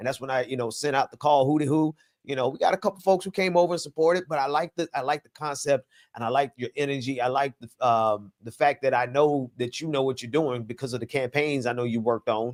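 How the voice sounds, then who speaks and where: This man talks at a very fast pace with an American accent, his pitch fairly high with ordinary variation. The sound is dry and close, with no echo. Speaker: political commentator. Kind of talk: live stream political talk show.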